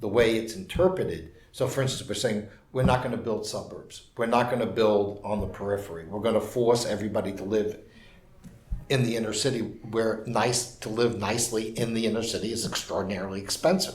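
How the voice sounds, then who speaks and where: A man with a New York accent, medium-pitched and somewhat breathy, with ordinary pitch variation and a fairly quick pace, amid audible room echo. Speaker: urban policy commentator. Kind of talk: interview.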